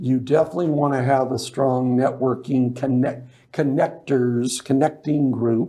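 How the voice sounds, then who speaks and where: A man's medium-pitched voice with an American accent, dark and mellow in tone, monotone and flat in intonation, at a fairly slow pace. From Las Vegas, US. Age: 60s. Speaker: business networking organizer. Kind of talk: interview. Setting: studio.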